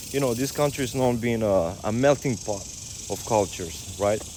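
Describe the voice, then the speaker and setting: There is noticeable background noise behind this man's voice. He talks at a fairly quick pace with a medium pitch and ordinary pitch variation. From Romania. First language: Romanian. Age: 30s. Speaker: fitness coach. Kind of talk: casual vlog monologue. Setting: outdoors on a walk. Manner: halting.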